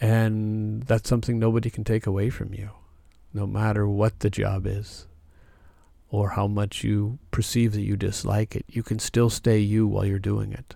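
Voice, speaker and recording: A man's calm, gentle, dark and mellow voice, monotone and flat in intonation at a moderate pace, in a very clean recording with a silent background. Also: fairly low pitch for a man. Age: 50s. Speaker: spiritual healing podcast host. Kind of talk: monologue on spiritual growth.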